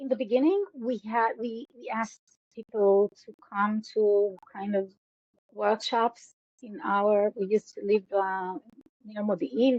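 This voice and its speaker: A woman speaks with an Israeli accent. Her pitch is fairly high. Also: ordinary pitch variation, fairly slow pace, big swings in loudness. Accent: Israeli Hebrew. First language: Hebrew. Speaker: educator. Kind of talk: interview. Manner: halting.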